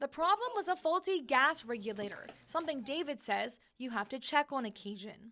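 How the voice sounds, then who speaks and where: The voice is raised and projected, with very wide pitch swings. There are hardly any pauses. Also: woman, high pitch for a woman, moderate pace. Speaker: TV news anchor and reporter. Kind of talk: TV news reporter package voice-over.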